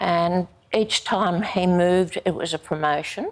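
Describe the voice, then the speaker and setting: A woman with an Australian accent talks with fairly even intonation. Her pitch is fairly low. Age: 80s+. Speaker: army wife telling her life story. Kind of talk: interview testimony. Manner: halting, many fillers.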